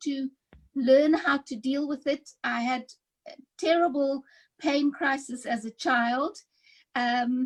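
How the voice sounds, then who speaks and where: Her high-pitched voice, a woman's, comes through in a dry, close sound with no echo. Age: 60s. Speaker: sickle cell patient. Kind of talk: testimony.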